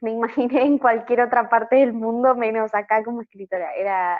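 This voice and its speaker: A woman is speaking in a fairly high voice. Her intonation stays fairly even. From Argentina, Patagonia. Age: 20s. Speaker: novelist. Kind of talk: interview.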